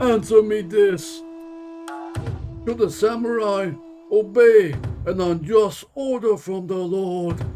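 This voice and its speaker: Over clear background music, a man performs a put-on character voice at a high pitch. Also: fairly slow pace. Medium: game stream. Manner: measured, deliberate.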